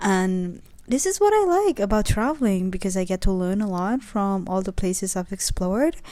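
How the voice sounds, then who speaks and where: A woman with a non-native accent, at medium pitch with ordinary variation, in a dark, mellow tone at a moderate pace, in a very clean recording with a silent background. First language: not English. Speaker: travel vlogger. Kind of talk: vlog narration. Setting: outdoors.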